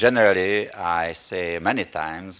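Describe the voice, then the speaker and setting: A man speaks with a Hungarian accent. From Hungary. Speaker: pastor. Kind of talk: sermon. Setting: church. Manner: halting.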